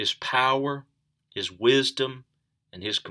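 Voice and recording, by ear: The background is quiet while the speaker reads aloud in a natural voice.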